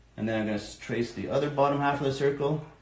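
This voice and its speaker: Somewhat breathy and fairly quick, this man talks at a medium pitch with fairly even intonation, and the room echo is audible. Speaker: art teacher for kids. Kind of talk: live drawing tutorial. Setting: live stream from home. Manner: fast.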